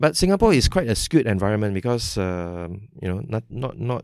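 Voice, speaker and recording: A medium-pitched man with a Malaysian accent at a fairly quick pace, on a very clean recording with a silent background. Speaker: technology executive. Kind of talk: interview. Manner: casual.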